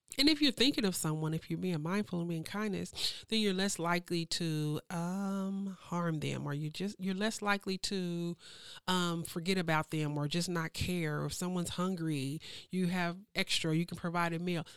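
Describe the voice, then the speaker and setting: In a very clean recording with a silent background, a woman with a normal speaking voice talks at a moderate pace with fairly low pitch and fairly even intonation. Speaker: program director at a local nonprofit. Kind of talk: casual podcast interview.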